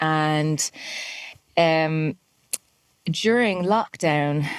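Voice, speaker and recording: A woman speaks with an Irish accent. Her pitch is very deep and low. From Ireland, Dublin. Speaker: musician. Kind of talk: interview. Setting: podcast.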